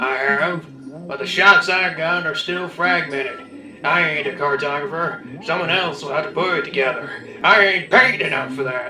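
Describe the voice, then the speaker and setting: A man puts on a high-pitched character voice. He speaks at a moderate pace over clear background noise. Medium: read story. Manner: cheeky, casual.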